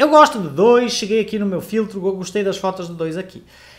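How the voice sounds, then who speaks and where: An animated man in a European Portuguese accent, against a quiet background. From Portugal. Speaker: photography teacher. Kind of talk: live online class. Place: home room.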